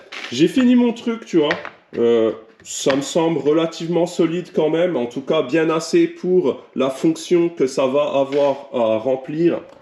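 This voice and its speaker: With lively intonation and a fairly high pitch, a man talks at a very slow pace. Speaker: car tuning youtuber. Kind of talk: casual vlog tutorial.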